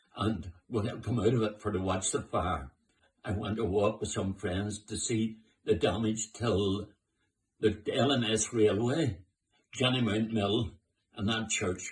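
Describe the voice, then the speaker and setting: A man speaks in a fairly low, somewhat breathy voice. His pitch varies in an ordinary way. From Northern Ireland, Belfast. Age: 90s. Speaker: war-time eyewitness. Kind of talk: oral history testimony. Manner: halting, with repetitions.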